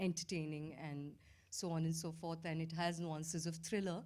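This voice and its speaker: This is a woman's voice. Its pitch is fairly low. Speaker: film director. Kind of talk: press conference Q&A. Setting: stage with press audience. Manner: halting. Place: hall. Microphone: handheld.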